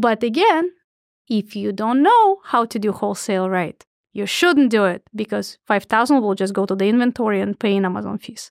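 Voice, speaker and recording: A woman with a Russian accent and a fairly high pitch talks at a fairly quick pace, recorded with a dry, close sound with no echo and a very clean, silent background. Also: ordinary pitch variation. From Soviet Union / Russia. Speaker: Amazon seller and consultant. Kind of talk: podcast interview.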